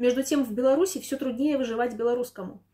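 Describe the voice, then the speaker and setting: Against a quiet background, a woman talks at a very fast pace in a high pitch with a dark, mellow tone. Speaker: news presenter. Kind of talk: news commentary narration. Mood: dry, ironic. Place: home room.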